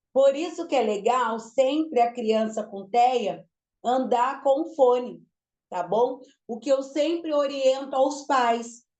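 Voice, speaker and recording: A woman speaks at a very slow pace with a high pitch and ordinary pitch variation. Her tone is dark and mellow. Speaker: lecturer on learning disorders. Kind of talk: lecture. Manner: emphatic.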